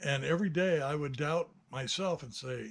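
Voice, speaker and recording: A man is speaking. His intonation is lively. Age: 60s. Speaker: hobbyist builder and video maker. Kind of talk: casual monologue. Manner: hesitant, many fillers.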